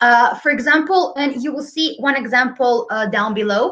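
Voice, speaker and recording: A woman's raised, projected voice, high in pitch, with a bright, sharp tone and lively intonation. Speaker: preschool English teacher presenting. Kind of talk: webinar presentation. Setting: online webinar.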